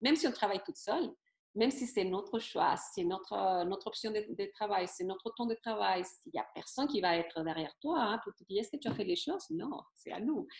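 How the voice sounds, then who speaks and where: The voice moves at a fairly quick pace with very wide pitch swings and big swings in loudness. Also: woman, fairly high pitch for a woman. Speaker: naturopath and MLM seller. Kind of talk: interview answer.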